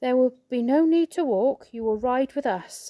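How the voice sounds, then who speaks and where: Using a put-on character voice, a woman speaks high at a moderate pace. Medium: read story. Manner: solemn, formal.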